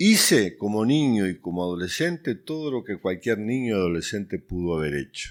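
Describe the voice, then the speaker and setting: The man's fairly low voice makes very wide pitch swings at a moderate pace, captured on a very clean recording with a silent background. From Uruguay. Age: 60s. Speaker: youth ministry director. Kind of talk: testimony.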